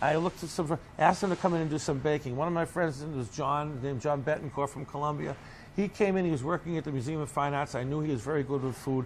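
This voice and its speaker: With a Boston accent, a man talks at a very fast pace in a fairly high voice with ordinary pitch variation. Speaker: bakery owner. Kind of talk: interview storytelling. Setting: on location interview. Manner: animated.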